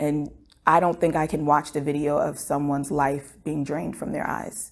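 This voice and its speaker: A woman's very deep, low voice in an American accent, monotone and flat at a moderate pace. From United States. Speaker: medical student. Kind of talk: interview answer. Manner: reflective, casual. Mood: somber, emotionally shaken. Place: studio.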